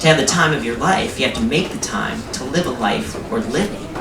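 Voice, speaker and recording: Fairly quick speech from a man at a fairly high pitch, with noticeable background noise. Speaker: comedian. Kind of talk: comic spoken word performance. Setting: live theatre stage.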